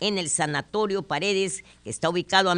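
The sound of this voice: An unforced reading voice carries the whole clip.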